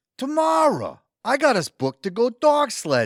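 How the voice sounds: In a put-on character voice, a man speaks at an extremely high pitch with very wide pitch swings and a fairly slow pace, on a very clean recording with a silent background and a dry, close sound with no echo.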